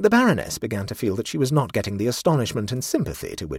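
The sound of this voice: The speaker uses an unforced reading voice.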